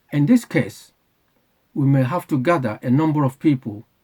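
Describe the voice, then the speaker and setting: In a dry, close sound with no echo, a man speaks with a dark, mellow tone, a somewhat breathy quality and ordinary pitch variation. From UK. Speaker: channel owner, political commentator. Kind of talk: prepared monologue, advocacy announcement. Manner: formal.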